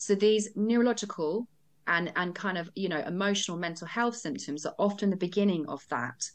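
Against a quiet background, a woman with a plain, everyday voice speaks at a medium pitch and fairly quick pace with ordinary pitch variation. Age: 40s. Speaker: nutritional therapist. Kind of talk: casual chat.

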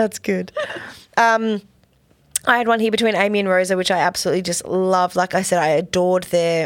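A woman with an Australian accent talks at a fairly quick pace with fairly even intonation, in a very clean recording over a silent background. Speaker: podcast co-host. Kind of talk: casual chat reviewing TV episodes.

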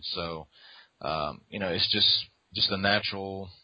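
Here a man talks with a Southern US accent. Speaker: artist and curator. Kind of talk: casual chat.

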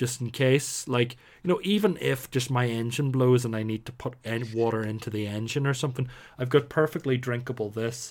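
At a medium pitch, a man talks at a fairly quick pace with ordinary pitch variation, recorded very cleanly against a silent background. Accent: Northern Irish. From Northern Ireland. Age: 30s. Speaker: podcast host. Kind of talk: casual chat.

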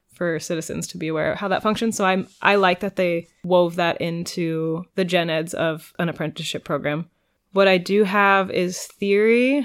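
A woman with a West Coast accent speaks at a moderate pace, her medium pitch held in fairly even intonation. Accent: American West Coast. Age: late 20s. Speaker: pottery apprentice. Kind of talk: casual interview.

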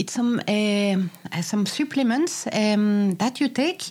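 This woman speaks with a non-native accent. Her medium-pitched voice is somewhat breathy. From France. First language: French. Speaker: podcast co-host. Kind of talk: casual chat.

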